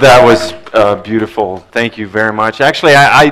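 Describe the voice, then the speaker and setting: A moderate pace against a quiet background. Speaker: panel moderator. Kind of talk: panel discussion moderation. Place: hall.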